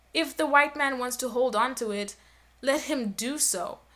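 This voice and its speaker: A woman speaks at a fairly slow pace with ordinary pitch variation. The recording is very clean, with a silent background. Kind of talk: audiobook reading of nonfiction.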